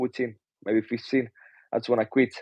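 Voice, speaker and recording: A man's medium-pitched, dark, mellow voice in a flat monotone at a fairly quick pace, dry and close with no echo. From Romania. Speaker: pro boxer. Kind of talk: interview. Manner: halting.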